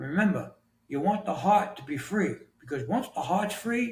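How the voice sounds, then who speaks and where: A man with an ordinary speaking voice, lively intonation and a moderate pace. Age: 60s. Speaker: author and health coach. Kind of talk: podcast interview answer.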